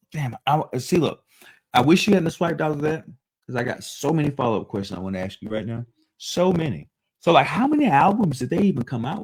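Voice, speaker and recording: Very wide pitch swings and big shifts in loudness mark this animated man's fairly high voice, which has vocal fry. He talks at a very fast pace. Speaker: podcast co-host. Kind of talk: casual chat.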